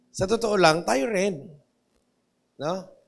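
The man's intonation is lively. His pace is very slow. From Philippines. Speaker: pastor. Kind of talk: sermon. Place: church. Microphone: handheld.

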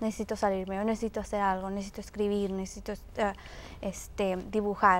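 A woman speaks at a fairly high pitch with monotone, flat intonation. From Mexico. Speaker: youth instructor. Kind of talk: interview. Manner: hesitant, filler words. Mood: earnest, calm. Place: studio. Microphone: lapel.

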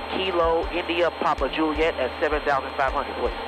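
A man speaks with music in the background. The sound is dry with no echo. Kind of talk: radio calls to air traffic control. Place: plane. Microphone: headset.

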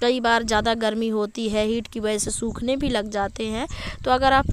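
A woman speaks in a monotone, flat delivery. The sound is dry with no echo, though background noise is noticeable. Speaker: home gardener vlogger. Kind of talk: tutorial. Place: garden. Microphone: phone near.

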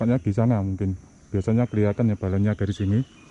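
The tone is dark and mellow, with ordinary pitch variation and a dry, close sound with no echo. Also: man. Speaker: travel vlogger. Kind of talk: vlog walkthrough. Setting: outdoors. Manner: casual, enthusiastic.

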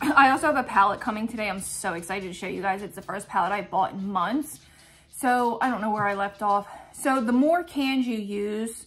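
A woman speaks fairly quickly, her intonation lively. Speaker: lifestyle vlogger. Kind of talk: casual vlog chat. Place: home room. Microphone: phone near.

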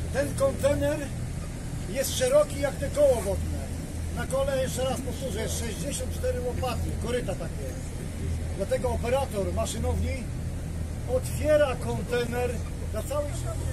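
A man talks with long, frequent pauses while crowd noise fills the background. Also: moderate pace. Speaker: tour guide. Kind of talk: guided tour commentary. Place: boat. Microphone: camera far.

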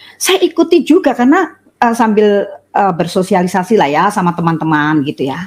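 A woman's somewhat breathy voice at a moderate pace, with very wide pitch swings. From Surabaya, East Java, Indonesia. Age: 60s. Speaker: religious convert. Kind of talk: testimony. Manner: halting, many fillers. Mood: warm, smiling.

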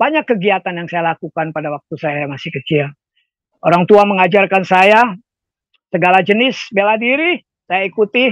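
Against a quiet background, a man with a high pitch talks in a dry sound with no echo. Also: lively intonation, moderate pace. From Indonesia, Jakarta (Ambonese family). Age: 70s. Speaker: former rock band vocalist, prayer minister. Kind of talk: testimony. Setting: video call. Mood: grateful, reflective. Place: home room. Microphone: earbuds.

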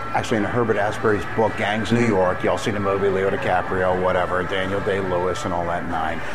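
Over clear background music, a man speaks fairly fast. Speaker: bar-review host. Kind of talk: casual vlog chat. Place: bar. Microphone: phone near.

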